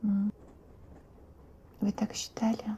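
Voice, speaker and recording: Soft-spoken and fairly high in pitch, a woman talks at a very slow pace. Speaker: ASMR creator. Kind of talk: ASMR roleplay.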